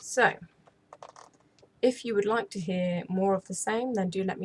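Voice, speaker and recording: A woman speaks with an English accent at a medium pitch. Her voice is somewhat breathy, with ordinary pitch variation. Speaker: ASMR storyteller, channel host. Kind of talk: casual intro to camera. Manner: soft-spoken, friendly.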